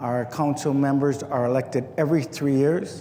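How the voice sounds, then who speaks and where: A man talks at a moderate pace and a medium pitch. There is audible room echo. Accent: American. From Milwaukee, Wisconsin. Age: 60s. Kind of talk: oral history talk. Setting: nature center visitor hall with audience.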